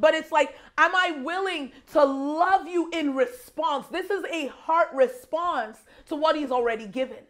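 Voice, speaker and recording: A woman speaks loudly at a high pitch, in an animated tone. Her pace is fairly slow, with ordinary pitch variation. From Nigeria. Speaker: guest preacher. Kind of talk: sermon.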